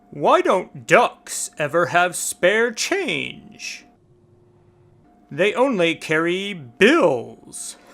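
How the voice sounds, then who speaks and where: Music plays in the background behind a put-on character voice. It sits at a middle pitch and moves at a very slow pace. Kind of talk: joke telling for children. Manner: playful, upbeat.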